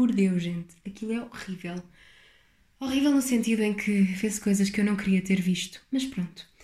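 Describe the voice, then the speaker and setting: A woman with a European Portuguese accent talks at a moderate pace, her medium-pitched voice dark, mellow and somewhat breathy, with ordinary pitch variation. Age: 20s. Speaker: podcaster, university student. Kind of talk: casual solo podcast monologue.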